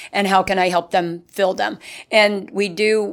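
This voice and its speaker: A woman's plain, everyday voice at medium pitch, with an American accent, a fairly slow pace and fairly even intonation. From northeastern Pennsylvania. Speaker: newspaper advertising sales executive. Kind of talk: casual interview.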